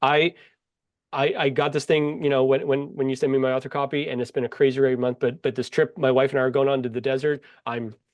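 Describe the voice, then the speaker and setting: Very fast speech from a man of medium pitch with an American accent. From Pittsburgh, US. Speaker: author. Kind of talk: casual chat.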